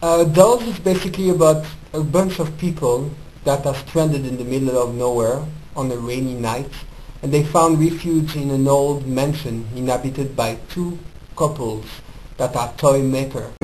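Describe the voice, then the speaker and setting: A man's fairly high voice in a French accent, at a moderate pace with ordinary pitch variation and audible room echo. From France. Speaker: film reviewer. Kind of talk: casual film review monologue. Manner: casual, hesitant with fillers.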